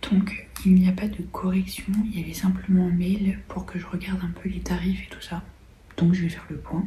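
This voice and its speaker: A woman speaks softly at a moderate pace. Audible room echo and noticeable background noise surround her. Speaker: beauty vlogger and nail technician. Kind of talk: casual vlog chat. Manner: speaking very softly.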